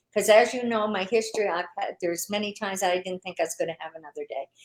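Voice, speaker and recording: A woman talks in an unremarkable speaking voice. Her pitch is fairly high and varies in an ordinary way. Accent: Canadian. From Canada. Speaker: online business owner. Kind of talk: interview.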